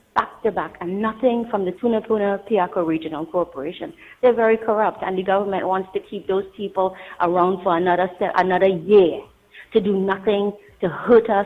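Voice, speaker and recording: A woman with a Trinidadian accent speaks at a fairly quick pace, her medium pitch held in fairly even intonation. Noticeable background noise runs through the clip. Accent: local Trinidadian. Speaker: caller. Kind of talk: call-in complaint.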